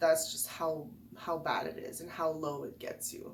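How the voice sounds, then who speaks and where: A woman at a very slow pace, with noticeable background noise and audible room echo. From French-speaking background. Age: 30s. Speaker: video blogger. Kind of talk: casual talk to camera about depression. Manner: hesitant, many fillers.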